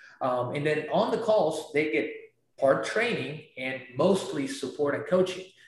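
Speech moves at a fairly slow pace with lively intonation. Audible echo fills the room. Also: man, fairly high pitch for a man. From Peru. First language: Spanish. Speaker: real estate investor. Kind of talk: interview. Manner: animated.

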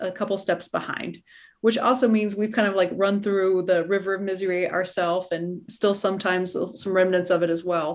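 In a very clean recording with a silent background, a woman talks at a moderate pace in a normal speaking voice, at medium pitch with fairly even intonation. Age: 40s. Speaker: podcast host, general surgeon and coach. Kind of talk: interview conversation.

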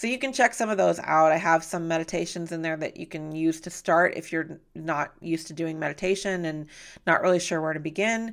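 A woman talks at a moderate pace with ordinary pitch variation. She has an unremarkable speaking voice. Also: very clean recording, silent background. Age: 40s. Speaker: podcast host and wellness coach. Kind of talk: solo podcast monologue.

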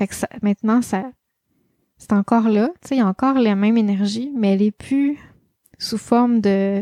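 A woman with a Quebec accent talks at a moderate pace in a fairly high pitch, her tone dark and mellow. Her intonation stays fairly even, and the sound is dry and close with no echo. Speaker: life coach and podcast host. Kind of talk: solo podcast monologue. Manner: casual, with many fillers.

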